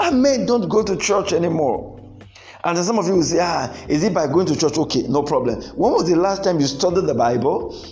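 A man with a high pitch speaks with lively intonation and very even loudness. Noticeable background noise sits behind him. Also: fairly quick pace. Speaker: preacher and marriage counsellor. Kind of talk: sermon. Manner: animated.

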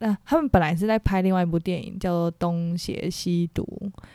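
A woman is speaking here. The tone of her voice is dark and mellow. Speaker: podcast co-host. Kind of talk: casual chat.

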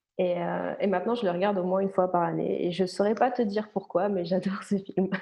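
A woman talks in a normal speaking voice. Her pitch is medium and her pace moderate. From France, Ain (Nantua), moved to Switzerland at about 13. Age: 20s. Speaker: medical massage therapist. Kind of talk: casual interview.

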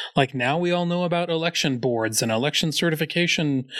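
A man at a moderate pace with ordinary pitch variation, a normal speaking voice, very clean recording and silent background. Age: 50s. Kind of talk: casual chat.

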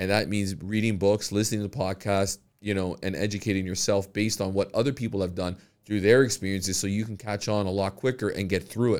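Over a silent background in a very clean recording, a man talks at a very fast pace with a fairly low pitch. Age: 40s. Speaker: real estate agent and podcast host. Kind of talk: casual interview chat. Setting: studio. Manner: halting, many repetitions and fillers.

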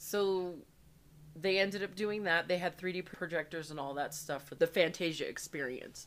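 A woman speaks at a medium pitch with ordinary pitch variation. It is a plain, everyday voice. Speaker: podcast host. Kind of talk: casual chat.

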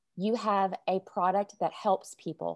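In a Southern US accent, a woman speaks at a medium pitch. The recording is very clean with a silent background, and the sound is dry and close with no echo. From US South, Arkansas. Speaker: sales coach. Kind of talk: casual interview.

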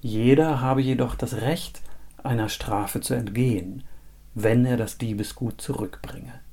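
A man's dark, mellow voice with vocal fry, dramatic and solemn in tone, fairly slow, with fairly even intonation. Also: medium pitch for a man. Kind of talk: fairy tale storytelling, read aloud as a scripted tale. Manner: measured, dramatic storyteller's pace with a solemn, old-fashioned tone.

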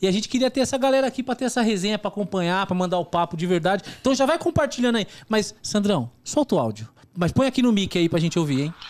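Talking at a very fast pace, a man with a high voice uses lively intonation. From Brazil, São Paulo east zone (Itaquera). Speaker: podcast host. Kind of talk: casual chat.

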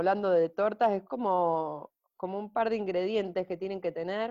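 In a Rioplatense accent, a woman speaks with ordinary pitch variation. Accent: Argentine Spanish (rioplatense). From Argentina, Junín (Buenos Aires province). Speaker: vocational coach. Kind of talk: casual interview chat. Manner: hesitant, many fillers and repetitions.

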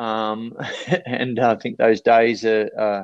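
A fairly low-pitched man's voice with an Australian accent. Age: 40s. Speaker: speaker and life coach. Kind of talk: casual interview chat.

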